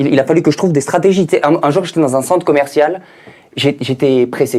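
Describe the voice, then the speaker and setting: At a fairly quick pace, a man speaks in a fairly high voice with a dark, mellow tone and ordinary pitch variation. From France, Paris. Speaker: stand-up comedian. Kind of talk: stand-up. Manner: animated.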